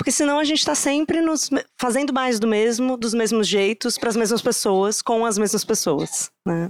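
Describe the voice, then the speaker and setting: This woman's fairly high voice carries lively intonation at a moderate pace, with very even loudness. The recording is very clean, with a silent background. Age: 30s. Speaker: psychologist, diversity and inclusion specialist. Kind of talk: live podcast conversation. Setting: stage with live audience.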